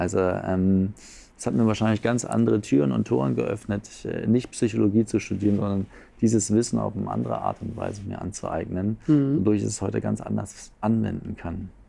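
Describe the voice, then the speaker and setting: Music plays in the background as a man speaks. His pace is fairly quick and his pitch fairly low. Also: lively intonation. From Berlin, Germany. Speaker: coach and seminar leader. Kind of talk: casual interview.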